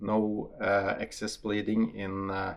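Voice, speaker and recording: With a Norwegian accent, a man speaks at a fairly low pitch. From Norway. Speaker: hunter and ammunition tester. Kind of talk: casual video talk to camera. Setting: outdoor shooting range. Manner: hesitant, many fillers.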